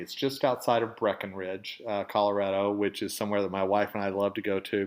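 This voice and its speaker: The voice belongs to a man. He speaks with a slight Southern accent. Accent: slight southern drawl. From Oklahoma, US South. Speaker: podcast host, dental industry editor. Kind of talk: casual storytelling monologue. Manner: conversational, with filler words.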